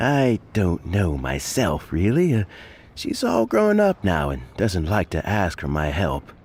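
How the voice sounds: In a put-on character voice with a low pitch and slightly mellow tone, a man speaks at a slow pace with very wide pitch swings.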